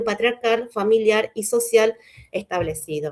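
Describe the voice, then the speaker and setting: A woman talks at a fairly quick pace and a fairly high pitch, with ordinary pitch variation. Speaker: historian lecturer. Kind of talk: lecture. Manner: fast; hesitant fillers.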